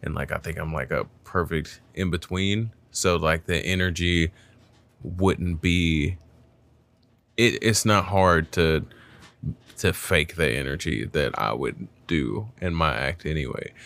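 A man talks at a very slow pace with vocal fry, ordinary pitch variation, and long, frequent pauses. The recording is very clean, with a silent background. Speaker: comedian and podcast host.

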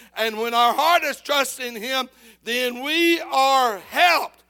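A man uses a raised, projected voice at an extremely high pitch, with a bright, sharp tone and a very slow pace. The recording is very clean, with a silent background. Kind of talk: sermon with scripture reading and call-and-response. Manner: pastoral and direct, urging the congregation to answer back.

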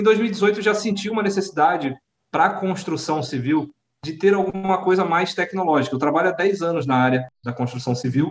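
This man speaks at a fairly quick pace, his pitch high and its variation ordinary. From Rio de Janeiro and Sorocaba, Brazil. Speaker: startup community leader, workplace safety technician. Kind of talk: casual interview.

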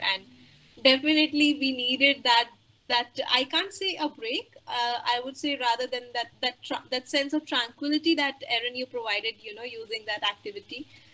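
With a raised, projected voice, a woman speaks at a high pitch in a bright, sharp tone. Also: ordinary pitch variation, moderate pace. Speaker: webinar moderator. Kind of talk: formal webinar moderation. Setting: online webinar.

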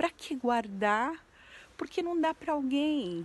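A woman speaks with lively intonation. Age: 40s. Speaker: entrepreneurship educator and social media creator. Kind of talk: vlog monologue. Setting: abandoned house.

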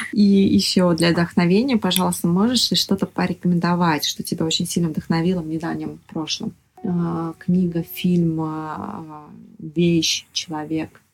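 At a fairly slow pace, a woman with a fairly low pitch speaks with ordinary pitch variation. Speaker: podcast host. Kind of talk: interview. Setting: guest's apartment.

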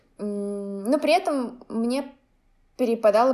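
A woman's voice with a dark, mellow tone. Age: 20s. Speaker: painter and blogger. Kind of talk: casual chat.

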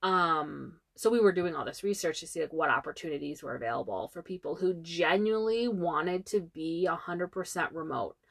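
A woman with an ordinary speaking voice and fairly low pitch talks fairly quickly with hardly any pauses. Her pitch varies in an ordinary way, and the background is quiet. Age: 30s. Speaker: travel podcast co-host. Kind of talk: casual chat.

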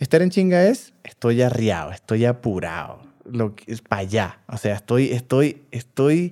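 Speaking fairly slowly with a strong Venezuelan accent, a man has a medium pitch, a dark, mellow tone and very wide pitch swings. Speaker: podcast co-host. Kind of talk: casual chat. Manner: loud, forceful.

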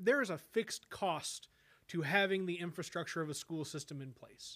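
With an American accent, the speaker talks at a fairly quick pace. The tone is bright and sharp, with ordinary pitch variation. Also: man. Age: 30s. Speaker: podcast host. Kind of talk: casual interview. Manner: halting, many fillers and repetitions.

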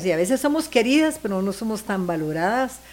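A woman speaks at a fairly high pitch. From Guatemala. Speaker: singer. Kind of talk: casual chat.

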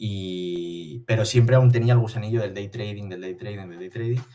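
A man's fairly low voice with a dark, mellow tone and fairly even intonation. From Spain, Barcelona. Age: 20s. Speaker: day trader. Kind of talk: interview.

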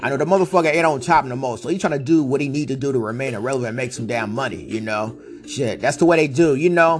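A man's animated, medium-pitched voice at a very fast pace with ordinary pitch variation and hardly any pauses, over noticeable background noise. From Northern California, Vallejo. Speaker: podcast host and rapper. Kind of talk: casual monologue.

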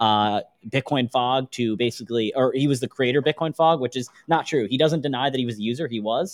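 A man's normal speaking voice at a medium pitch with ordinary pitch variation, a fairly quick pace and hardly any pauses. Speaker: media producer. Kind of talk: casual panel discussion. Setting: live at a conference.

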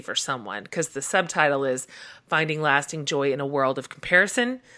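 A woman with a bright, sharp tone speaks at a moderate pace on a very clean recording with a silent background. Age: 40s. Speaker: podcast host and author. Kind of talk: casual interview. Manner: animated.

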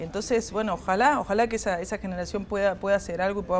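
The voice is a woman's, at a medium pitch. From Córdoba, Argentina. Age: 40s. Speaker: singer-songwriter and percussionist. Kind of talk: interview. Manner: halting, many fillers and repetitions.

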